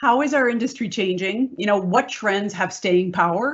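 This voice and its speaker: A woman speaks at a fairly high pitch, her voice somewhat breathy. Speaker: business consultant. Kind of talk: panel presentation. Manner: fast.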